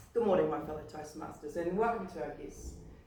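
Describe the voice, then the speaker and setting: The woman's voice carries audible room echo. She talks at a moderate pace. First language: not English. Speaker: public speaking club member. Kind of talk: prepared speech.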